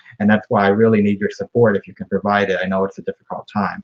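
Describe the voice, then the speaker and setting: A man speaks with an American accent. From Florida. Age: 20s. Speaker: political candidate. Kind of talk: campaign speech.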